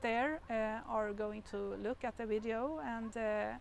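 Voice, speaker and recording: A woman with a fairly high pitch at a very slow pace. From Sweden. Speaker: interviewer. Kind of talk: interview.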